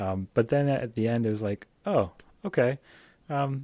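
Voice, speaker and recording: The man's dark, mellow tone has ordinary pitch variation and a dry, close sound with no echo. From Canada. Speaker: podcast host, interviewer. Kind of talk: casual interview. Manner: halting, many fillers.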